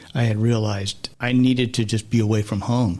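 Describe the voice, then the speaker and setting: Here is a man with a plain, everyday voice. He speaks at medium pitch and a moderate pace. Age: 60s. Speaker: guest sharing life story of addiction and recovery. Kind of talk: interview testimony.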